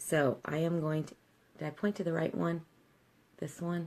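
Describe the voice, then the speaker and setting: Soft-spoken, a woman talks in a very deep, low pitch. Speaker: makeup tutorial host. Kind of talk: tutorial.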